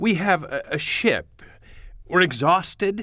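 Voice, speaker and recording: A man with vocal fry at a fairly slow pace, on a very clean recording with a silent background. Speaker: actor playing Captain Williams. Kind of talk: radio-theatre dramatic reading. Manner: excitable, flustered, stammering, eager, polite.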